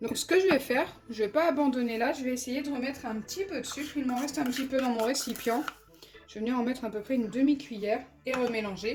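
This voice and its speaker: Noticeable background noise sits behind a woman with a high pitch. She talks at a very fast pace with ordinary pitch variation. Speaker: slime-making YouTuber. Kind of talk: tutorial. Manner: casual, chatty.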